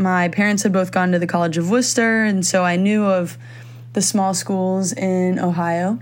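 A woman at medium pitch with fairly even intonation and audible room echo. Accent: American. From Philippines (Manila) and Virginia, US. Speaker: student athlete. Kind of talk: interview.

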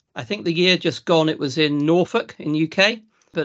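In a Lincolnshire accent, a man speaks with ordinary pitch variation. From South Lincolnshire, England. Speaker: farmer and agricultural consultant. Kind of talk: casual interview.

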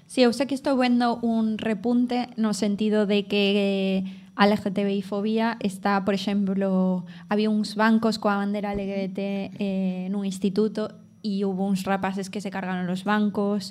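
At a fairly slow pace, a woman speaks at medium pitch with monotone, flat intonation. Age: 20s. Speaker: podcast host and teacher. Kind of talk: live show with audience. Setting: café with live audience.

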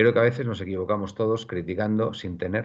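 Against a quiet background, a man talks at a fairly quick pace in a fairly low pitch with ordinary pitch variation. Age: 50s. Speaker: football podcast host. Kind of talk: casual chat. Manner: halting, many repetitions.

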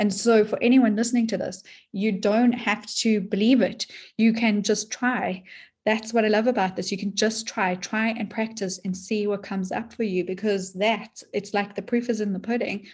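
Somewhat breathy delivery with monotone, flat intonation at a moderate pace. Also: woman, fairly high pitch for a woman. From South Africa. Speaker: depth psychologist and dream teacher. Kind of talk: interview conversation.

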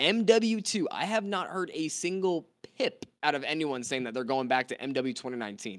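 With an American accent, a man talks at a fairly quick pace. His pitch swings are very wide. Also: fairly high pitch for a man. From US (North Carolina, then California). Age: 20s. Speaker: gaming content creator. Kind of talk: casual chat. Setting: live stream video call.

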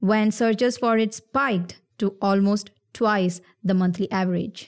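In a very clean recording with a silent background, a woman has a normal speaking voice, a fairly high pitch and fairly even intonation. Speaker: podcast co-host, commercial editor. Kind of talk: podcast interview.

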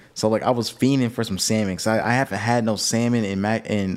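A normal speaking voice from a man, fairly low in pitch, with fairly even intonation and a fairly quick pace. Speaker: podcast co-host. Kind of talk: casual chat. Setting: studio.

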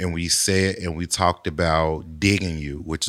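A man's very deep, low voice in a flat monotone at a moderate pace, on a very clean recording with a silent background. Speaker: songwriter and producer. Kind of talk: casual interview. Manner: calm, reserved.

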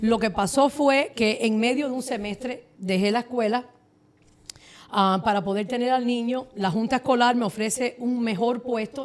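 This woman uses an ordinary speaking voice, fairly high in pitch, delivering her words at a moderate pace with fairly even intonation. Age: 40s. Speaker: mortgage broker. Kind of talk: casual chat.

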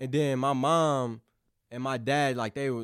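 In a normal speaking voice, a man with an American accent talks at medium pitch with fairly even intonation. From southeast Missouri, US. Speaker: college football recruit. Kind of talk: interview. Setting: studio.

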